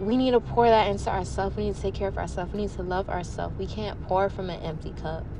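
A woman speaks at a very fast pace with hardly any pauses, with audible room echo and noticeable background noise. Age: 20s. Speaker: podcast host, beauty influencer. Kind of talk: casual monologue. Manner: animated, chatty.

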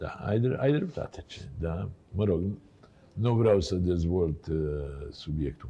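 In a very deep, low pitch with a dark, mellow tone, a man speaks at a very slow pace, somewhat breathy, with lively intonation and long, frequent pauses. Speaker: TV talk show host. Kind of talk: casual interview chat. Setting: studio.

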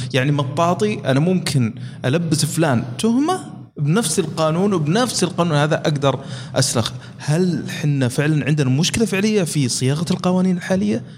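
A man with lively intonation over noticeable background noise. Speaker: podcast host. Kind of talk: podcast interview.

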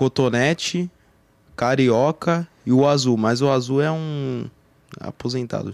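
A man's medium-pitched voice at a very slow pace, dry and close with no echo. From Campinas, São Paulo state, Brazil. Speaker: online game roleplayer. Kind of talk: casual chat.

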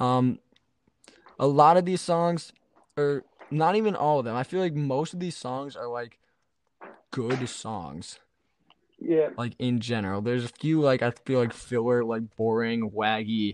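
A man speaks with lively intonation at a fairly slow pace. His speech has long, frequent pauses. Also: medium pitch for a man. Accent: slight New Jersey. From New Jersey. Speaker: musician and podcast co-host. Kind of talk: casual chat.

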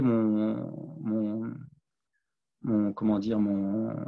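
A man's fairly low voice at a very slow pace, with audible room echo. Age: 40s. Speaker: sports coach and sophrologist. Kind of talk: podcast interview. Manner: halting, many repetitions.

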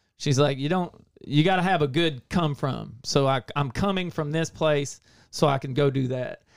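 Here is a man with a normal speaking voice at a fairly high pitch, talking at a moderate pace with ordinary pitch variation. The recording is very clean, with a silent background. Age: 40s. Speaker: recovery and habits coach with a website. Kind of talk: casual chat.

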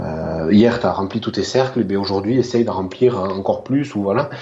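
Noticeable background noise runs through the clip. The speech is fairly slow, with ordinary pitch variation. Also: man. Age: 30s. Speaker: tech enthusiast. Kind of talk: casual interview. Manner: halting, many repetitions.

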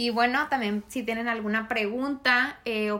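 Fairly even in intonation, a woman's voice comes through in a very clean recording with a silent background. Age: 20s. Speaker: podcast co-host. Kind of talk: casual chat.

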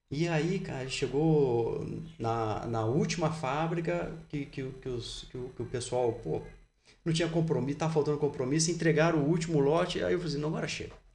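Vocal fry runs through speech delivered at a moderate pace with ordinary pitch variation. Room echo is audible. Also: man, fairly high pitch for a man. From Brazil, Resende, Rio de Janeiro state. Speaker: fitness footwear company founder. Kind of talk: casual interview. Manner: hesitant, many repetitions.

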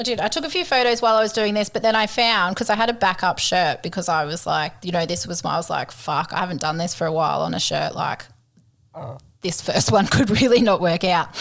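With an Australian accent, a woman at medium pitch speaks at a very fast pace with lively intonation, on a very clean recording with a silent background. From Queensland, Australia. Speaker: podcast co-host. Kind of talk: casual chat.

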